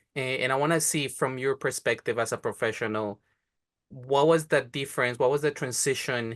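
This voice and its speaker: Over a quiet background, a man speaks at a medium pitch with a Spanish accent. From Colombia. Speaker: podcast host. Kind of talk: interview.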